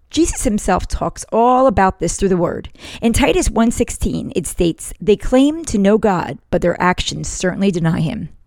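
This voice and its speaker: A woman speaks at a medium pitch with an American accent and some vocal fry. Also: lively intonation, moderate pace. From northern US. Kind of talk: devotional talk.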